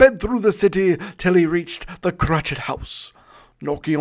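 The speaker uses a natural reading voice. Pitch moves with ordinary variation.

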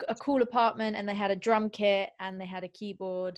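Speaking at a moderate pace, a woman uses a plain, everyday voice at a medium pitch. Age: 20s. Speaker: singer-songwriter. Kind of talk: casual interview chat.

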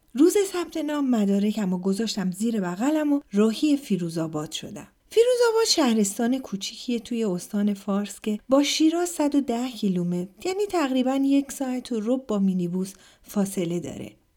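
The speaker barely pauses, and the pitch swings very widely throughout. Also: woman, fairly high pitch for a woman, moderate pace. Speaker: podcast host and storyteller. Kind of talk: scripted narration of personal stories.

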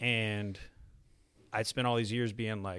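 This man has a Texan accent and a fairly low pitch. The recording is very clean, with a silent background. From Texas. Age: 30s. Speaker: singer-songwriter. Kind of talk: casual chat. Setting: studio.

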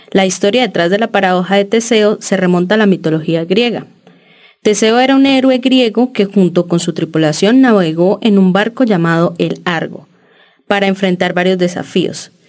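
Backed by music in the background, a woman with a medium pitch speaks at a moderate pace with very even loudness and ordinary pitch variation. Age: 30s. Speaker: podcast co-host, architecture student. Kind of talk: casual chat.

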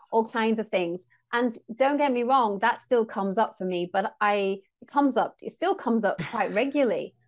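A woman speaks at a moderate pace with an English accent, her pitch fairly high and its variation ordinary. Her loudness swings widely, she hardly pauses, and the background is quiet. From England. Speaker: sound healer and co-host. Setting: remote recording.

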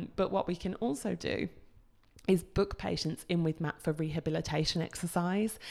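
At a moderate pace, a woman talks with vocal fry and a very deep, low pitch, on a very clean recording with a silent background. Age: 20s. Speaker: osteopath and podcast host. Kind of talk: solo podcast monologue. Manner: casual with frequent fillers (um).

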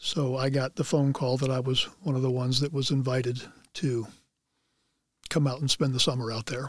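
A man with a medium-pitched, somewhat breathy voice speaks with fairly even intonation. He leaves long, frequent pauses. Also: fairly quick pace, very clean recording, silent background. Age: 60s. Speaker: former football player. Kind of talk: interview.

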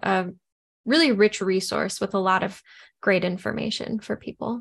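A woman with a plain, everyday voice talks at a moderate pace and medium pitch. The background is quiet. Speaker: podcast co-host. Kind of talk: casual chat.

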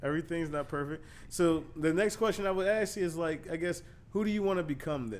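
Here is an ordinary speaking voice from a man. He goes at a moderate pace with lively intonation. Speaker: podcast host. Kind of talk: interview.

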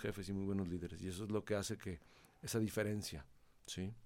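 At a fairly quick pace, a man talks in a fairly low pitch with vocal fry. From Mexico, Monterrey. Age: 50s. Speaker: company president. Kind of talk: interview.

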